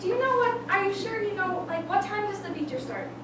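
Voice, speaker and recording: A squeaky, put-on character voice at a fairly quick pace, with loud background noise and slight echo. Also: woman, extremely high pitch for a woman. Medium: stage play.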